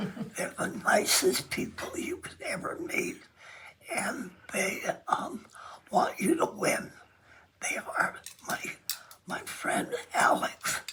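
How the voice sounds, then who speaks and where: A woman whispers at a very slow pace with long, frequent pauses. Noticeable background noise can be heard. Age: 90s. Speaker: quilt artist. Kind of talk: casual interview. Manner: hesitant, with frequent fillers.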